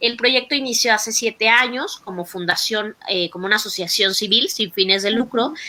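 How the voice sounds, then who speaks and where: A woman with a fairly high voice talks with hardly any pauses and ordinary pitch variation over noticeable background noise. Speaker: doctor and patient advocate. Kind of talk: online talk presentation. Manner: fast.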